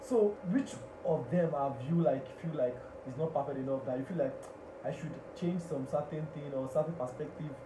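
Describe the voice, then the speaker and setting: Noticeable background noise runs under this man's voice. He keeps a moderate pace with ordinary pitch variation. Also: fairly high pitch for a man. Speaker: radio host and public speaker. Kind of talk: radio talk show host interviewing a guest.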